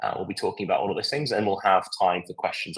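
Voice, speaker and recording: A man with a British accent. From UK. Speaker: software product demonstrator. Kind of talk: live product demo webinar. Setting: live online event. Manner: halting, many fillers.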